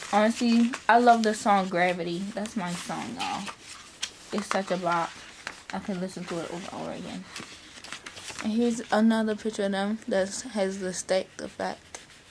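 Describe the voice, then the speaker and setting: A woman at a moderate pace with long, frequent pauses and fairly even intonation, over noticeable background noise. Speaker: unboxing vlogger. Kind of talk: casual vlog chat. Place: home room. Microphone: phone near.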